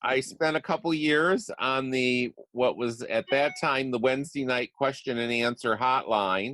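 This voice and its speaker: An unremarkable speaking voice at a fairly slow pace, with hardly any pauses. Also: man, dry, close sound with no echo. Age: 60s. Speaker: real estate investor and coach. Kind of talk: interview.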